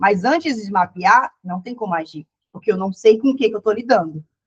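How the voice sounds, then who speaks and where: A woman speaks with lively intonation and a fairly high pitch. Her voice is somewhat breathy. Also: dry, close sound with no echo. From Ceará, Brazil. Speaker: psychologist. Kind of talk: online lecture. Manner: fast; casual, self-correcting.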